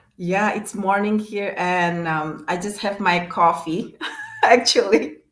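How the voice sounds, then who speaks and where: In a room with audible echo, a woman at medium pitch speaks at a very slow pace. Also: fairly even intonation. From Indonesia. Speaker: business coach. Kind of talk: live stream interview.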